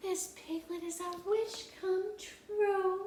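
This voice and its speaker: A put-on, female-sounding character voice, squeaky and extremely high-pitched, speaks very slowly in a flat monotone with a slight echo. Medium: read story.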